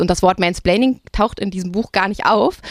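In a dry, close recording with no echo, a woman talks very fast at medium pitch with ordinary pitch variation. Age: 30s. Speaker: writer and critic, podcast host. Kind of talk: literary discussion. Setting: outdoors.

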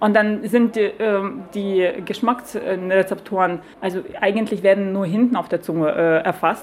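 A woman with a Lithuanian accent at medium pitch, fairly even intonation and a fairly slow pace, over noticeable background noise. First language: Lithuanian (speaking German). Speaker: beer sommelier and brewery owner. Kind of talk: casual interview over lunch. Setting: broadcaster's canteen. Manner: hesitant, many fillers.

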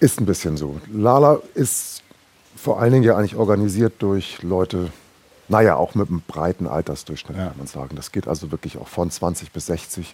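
A man talks at a moderate pace in a very deep, low pitch. His intonation is lively, and his loudness swings widely. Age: 50s. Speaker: linguist and DJ, festival organiser. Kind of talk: casual interview. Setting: festival venue building.

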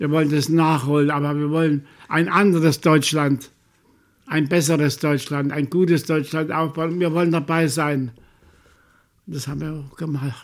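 With long, frequent pauses, a man speaks in a fairly high-pitched, monotone, flat voice. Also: moderate pace. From Saxony, Chemnitz. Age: 90s. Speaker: Holocaust survivor. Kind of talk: interview testimony. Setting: care home.

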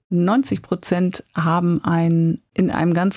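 A woman speaks in a fairly low pitch with a dark, mellow tone and a somewhat breathy quality. The sound is dry and close, with no echo. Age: 50s. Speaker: career coach. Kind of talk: interview.

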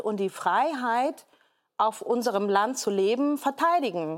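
A woman's fairly high voice with lively intonation, at a fairly slow pace, in a very clean recording with a silent background. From Hamburg, Germany. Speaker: entrepreneur and podcaster. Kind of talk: talk show discussion. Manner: hesitant, many fillers.

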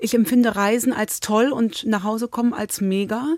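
With fairly even intonation, a woman speaks at a fairly high pitch in an ordinary speaking voice. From Cologne, Germany. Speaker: author. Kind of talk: interview.

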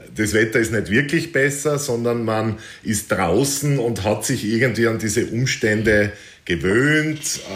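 A voice with an Austrian accent at a fairly slow pace, ordinary pitch variation and very even loudness, with audible room echo and noticeable background noise. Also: man, medium pitch for a man. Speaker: adventure hiker and author. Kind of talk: interview.

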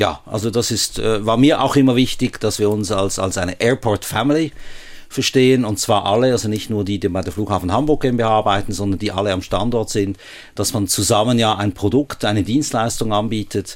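With a slight Swiss German accent, a man speaks at a fairly quick pace in a fairly low pitch with ordinary pitch variation. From Switzerland, Basel. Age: 60s. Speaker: airport chief executive. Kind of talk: radio interview. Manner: hesitant, frequent fillers.

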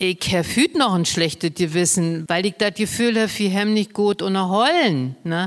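A woman with a normal speaking voice talks fairly slowly at a medium pitch with ordinary variation, on a very clean recording with a silent background. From Brandenburg. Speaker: Low German advocate and cabaret artist. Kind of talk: casual chat.

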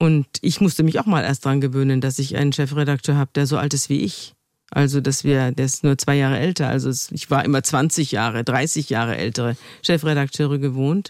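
Talking at a fairly quick pace, a woman uses a very deep, low pitch and fairly even intonation. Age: 60s. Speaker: journalist and podcaster. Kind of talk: interview.

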